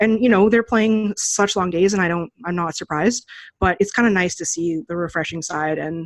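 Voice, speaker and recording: Talking at a fairly quick pace in a plain, everyday voice, a woman with a fairly low pitch shows ordinary pitch variation and big swings in loudness. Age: 30s. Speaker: poker journalist and player. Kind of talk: interview. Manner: casual, many fillers.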